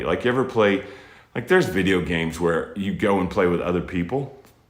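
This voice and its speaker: Audible room echo surrounds this man's voice. He speaks with a fairly low pitch and lively intonation. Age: 50s. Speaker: military veteran and space educator. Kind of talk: motivational talk to children. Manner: casual, conversational, with restarts.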